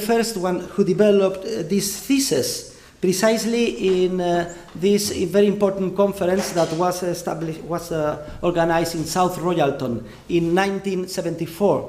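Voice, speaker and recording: Through audible room echo and noticeable background noise, a man speaks at a moderate pace with a high pitch. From Spain. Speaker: economics professor. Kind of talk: lecture. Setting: university lecture hall with audience. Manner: hesitant with frequent fillers.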